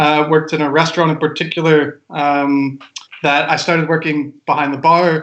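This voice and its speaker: At a moderate pace, a man talks with a fairly high pitch and a flat, monotone intonation. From Kentucky, US (Lexington). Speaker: wine sommelier. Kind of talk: casual chat.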